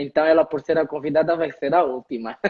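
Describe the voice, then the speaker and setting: A man with an Angolan accent. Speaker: HR lecturer and live stream host. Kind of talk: live stream conversation.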